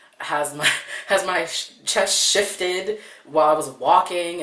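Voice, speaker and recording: Noticeable background noise and audible room echo both surround the man's voice. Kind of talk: interview testimony. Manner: casual, hesitant with fillers.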